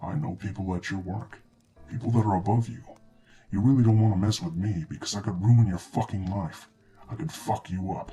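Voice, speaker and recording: Quietly and at a fairly quick pace, a man uses a put-on character voice with a fairly low pitch and ordinary pitch variation. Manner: menacing, threatening.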